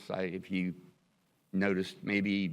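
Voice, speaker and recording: A man's fairly low-pitched voice against a quiet background. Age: 60s. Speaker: attorney, board applicant. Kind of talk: public meeting interview. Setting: city commission meeting chamber. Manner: halting, many fillers and restarts.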